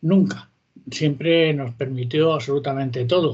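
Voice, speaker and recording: A man's somewhat breathy, fairly high-pitched voice. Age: 70s. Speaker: author and history popularizer. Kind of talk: interview.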